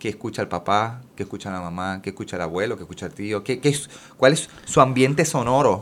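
Using a plain, everyday voice, a man speaks at a fairly low pitch and a fairly quick pace. His intonation is lively, with big swings in loudness. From Puerto Rico. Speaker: children's musician. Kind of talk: casual chat.

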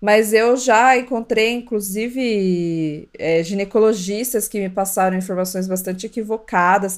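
With hardly any pauses, a woman of medium pitch talks at a fairly slow pace in fairly even intonation, an unremarkable speaking voice. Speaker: podcast co-host, mother. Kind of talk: casual chat.

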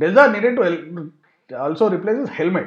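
An unforced reading voice, lively intonation, and a quiet background

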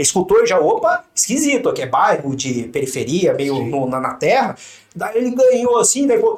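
Noticeable background noise runs under the recording. A man talks at a fairly quick pace with very wide pitch swings. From Brazil, São José dos Campos (São Paulo state). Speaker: police officer. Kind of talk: casual interview.

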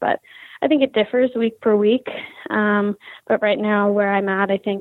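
In an American accent, a woman with a normal speaking voice talks at a medium pitch and a moderate pace. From Philadelphia, Pennsylvania. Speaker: professional ice hockey player. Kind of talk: interview.

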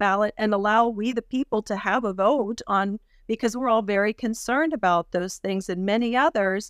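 Recorded very cleanly against a silent background, with a dry, close sound and no echo, a woman with an American accent and an unremarkable speaking voice talks at a fairly quick pace, her pitch fairly high with ordinary variation. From Pennsylvania, US. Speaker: political candidate. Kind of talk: interview.

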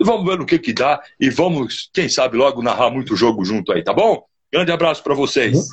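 His pitch sits fairly high and jumps around very widely. The man keeps a fairly quick pace. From São Paulo (Mooca), Brazil. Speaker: sports narrator. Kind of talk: casual chat. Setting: live video call. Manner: halting.

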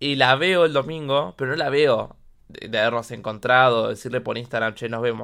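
The speaker, in a Rioplatense accent, goes at a moderate pace with ordinary pitch variation. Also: man, medium pitch for a man. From Argentina, Buenos Aires (Quilmes). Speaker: podcast host. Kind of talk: casual monologue. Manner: animated.

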